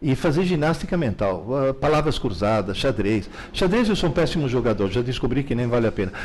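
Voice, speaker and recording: At a fairly quick pace, a man with a medium pitch speaks in very wide pitch swings. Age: 70s. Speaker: teacher and author on learning. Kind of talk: live Q&A interview. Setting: live stream. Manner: animated.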